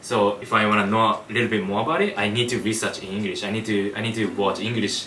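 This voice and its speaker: Over noticeable background noise and audible room echo, a man with a Japanese accent talks at a very fast pace with fairly low pitch and fairly even intonation. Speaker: YouTuber, street interviewer. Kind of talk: interview. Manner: halting, repeats words.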